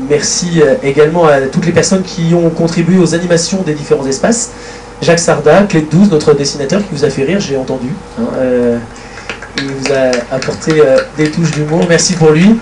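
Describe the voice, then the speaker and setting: Through noticeable background noise and audible room echo, a man speaks with a fairly high pitch. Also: ordinary pitch variation. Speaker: association official giving thanks at general assembly. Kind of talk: formal thank-you speech. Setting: stage at assembly with audience, livestreamed. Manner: fast.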